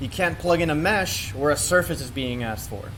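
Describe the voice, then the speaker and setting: A man's normal speaking voice at a moderate pace, with lively intonation. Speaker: workshop instructor. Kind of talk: tutorial.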